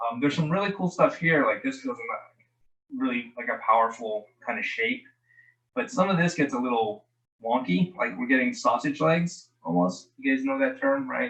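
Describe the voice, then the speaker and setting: A man's fairly high voice moves through very wide pitch swings at a moderate pace. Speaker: guest art critic reviewing character designs. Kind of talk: live design critique on video call. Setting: video call. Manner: casual, hesitant with many ums.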